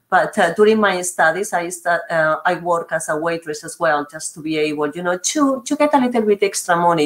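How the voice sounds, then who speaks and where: A woman speaks at a moderate pace with a Spanish accent. Her pitch is fairly low. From Spain. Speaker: university regional manager, webinar host. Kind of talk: webinar hosting. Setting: online webinar.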